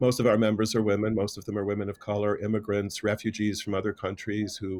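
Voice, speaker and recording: The man speaks at a very fast pace. His intonation stays monotone and flat. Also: fairly low pitch for a man. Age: 60s. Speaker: AIDS activist and union organizer. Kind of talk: panel discussion. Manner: halting.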